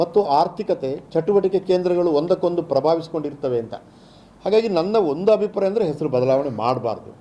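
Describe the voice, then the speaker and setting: Here is a man with a dark, mellow tone and a high pitch. His intonation is lively. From India, Dakshina Kannada (Sullia). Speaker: language authority chairman. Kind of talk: press interview.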